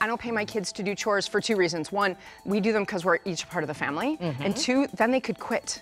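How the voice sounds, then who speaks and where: A woman at a very fast pace with lively intonation, faint music in the background. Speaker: family physician, parenting and resilience expert. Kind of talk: TV interview answer. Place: studio. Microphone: lapel.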